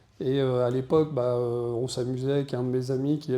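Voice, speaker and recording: A man's dark, mellow, monotone voice with flat intonation, at a moderate pace with audible room echo. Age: 60s. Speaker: deacon and media business owner. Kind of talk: conference talk. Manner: hesitant, many fillers.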